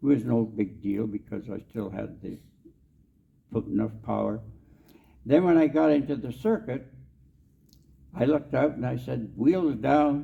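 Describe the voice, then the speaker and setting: Speaking in a Canadian Prairie accent, a man with a medium-pitched voice and lively intonation moves at a moderate pace, with long, frequent pauses. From Canadian Prairies, Saskatchewan. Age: 80s+. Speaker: war veteran. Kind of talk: storytelling talk. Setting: convention stage with audience.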